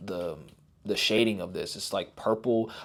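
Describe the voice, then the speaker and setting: A quiet man at a fairly low pitch, moderate pace, in a very clean recording with a silent background. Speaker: toy reviewer. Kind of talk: product review. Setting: at home, son sleeping nearby. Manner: subdued, toned down to keep quiet.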